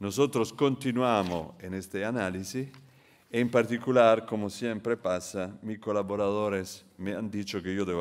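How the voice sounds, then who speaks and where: A man's fairly low-pitched voice with an Italian accent, fairly slow pace and ordinary pitch variation, on a very clean recording with a silent background. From Italy. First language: Italian (speaking Spanish). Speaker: international economist, keynote speaker. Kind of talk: conference keynote lecture.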